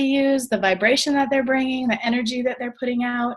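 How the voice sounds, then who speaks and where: Against a quiet background, a woman speaks at a fairly quick pace and a fairly high pitch. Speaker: network marketing trainer. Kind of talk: training call presentation. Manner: fast.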